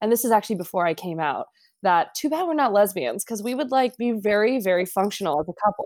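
An American woman talks at a moderate pace in an ordinary speaking voice, her pitch in the middle range with lively intonation. The sound is dry and close, with no echo. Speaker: guest, friend of host. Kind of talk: casual chat. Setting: video call.

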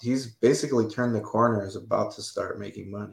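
A man speaks at a fairly quick pace. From United States (born in Romania, moved at three). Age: 40s. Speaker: clinical research site owner. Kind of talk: casual interview. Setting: live stream video call.

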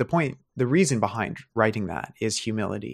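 Lively intonation and vocal fry mark a man with an American accent at a moderate pace. The recording is very clean, with a silent background. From US West, rural Oregon. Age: 30s. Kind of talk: interview conversation.

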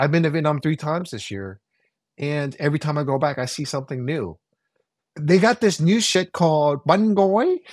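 In an ordinary speaking voice, a man talks at a moderate pace with fairly high pitch and lively intonation, captured on a very clean, silent recording with a dry, close sound and no echo. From Oakland, California (Vietnamese American). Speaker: chef and podcast host. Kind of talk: casual chat.

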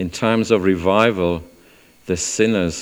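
In a South Wales accent, a man with a very deep, low pitch speaks at a fairly slow pace with ordinary pitch variation. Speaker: church speaker leading testimonies. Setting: church. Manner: speaking slowly.

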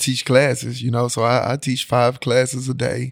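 This is a man speaking. His pitch is medium and his pace is moderate. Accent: Memphis. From Memphis, Tennessee. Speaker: high school football head coach. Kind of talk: casual interview.

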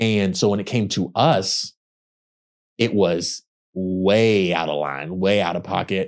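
With a Texan accent, a man talks very slowly at a very deep, low pitch, using ordinary pitch variation and long, frequent pauses. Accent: Southern US (Texan). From Texas. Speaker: actor. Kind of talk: casual interview chat.

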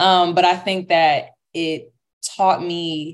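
Monotone, flat intonation over a quiet background. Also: woman. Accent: American. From US Midwest (St. Louis, Missouri). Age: 20s. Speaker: pre-med student and content creator. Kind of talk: casual interview.

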